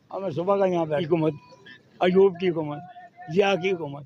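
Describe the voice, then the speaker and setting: Here is a man with a high pitch. His intonation stays fairly even. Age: 70s. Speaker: street vegetable seller. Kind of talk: street interview answer.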